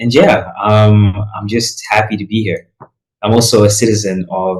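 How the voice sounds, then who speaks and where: A man speaks at a moderate pace with a fairly low pitch. His delivery is monotone and flat, and somewhat breathy. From Malawi. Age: young. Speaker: recent high school graduate on gap year. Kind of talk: podcast interview. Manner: casual, many fillers.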